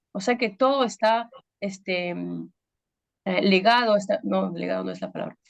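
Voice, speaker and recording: Her loudness swinging widely, a woman talks at a moderate pace. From Peru. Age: 30s. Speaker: pastor. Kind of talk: testimony. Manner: halting, many fillers.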